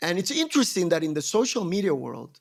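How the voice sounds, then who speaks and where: A man speaks with a Spanish accent and lively intonation. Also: very clean recording, silent background. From Colombia. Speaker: entrepreneur. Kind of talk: podcast interview.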